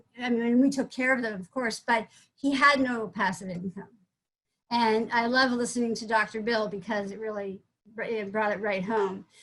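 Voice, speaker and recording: Her fairly high-pitched voice, a woman's, holds a fairly even intonation. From US Northeast, Vermont. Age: 60s. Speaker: psychologist, business founder. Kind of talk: testimony. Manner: halting, many false starts.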